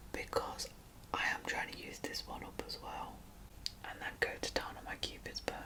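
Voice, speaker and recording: A woman whispers in a relaxed tone over noticeable background noise. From UK. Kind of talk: ASMR makeup chat to camera. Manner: soft-spoken, chatty, relaxed.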